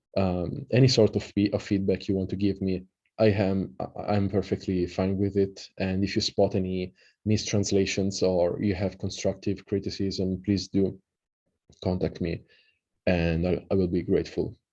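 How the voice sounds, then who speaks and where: With an Italian accent, a man speaks at a moderate pace in a very deep, low pitch, his tone dark and mellow and his intonation monotone and flat. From Italy. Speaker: occult researcher and translator. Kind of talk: lecture. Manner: halting, many fillers; casual.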